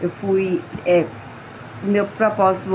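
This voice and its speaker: A woman talks at a medium pitch, with noticeable noise in the background. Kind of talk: religious reflection. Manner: slurred at times.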